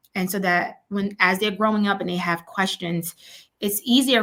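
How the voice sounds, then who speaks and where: Fairly even intonation carries a woman's moderately paced speech. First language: Spanish. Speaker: education consultant and children's author. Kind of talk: interview.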